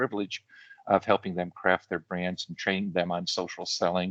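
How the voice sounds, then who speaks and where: Speaking at a very fast pace, a man is heard in a dry, close sound with no echo. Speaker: LinkedIn branding and social selling trainer. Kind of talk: online workshop presentation.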